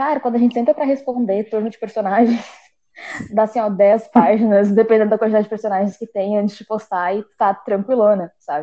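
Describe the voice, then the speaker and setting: It's a plain, everyday voice at a fairly quick pace. Its loudness swings widely. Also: woman, fairly high pitch for a woman, fairly even intonation. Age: 20s. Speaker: journalism student. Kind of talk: casual chat.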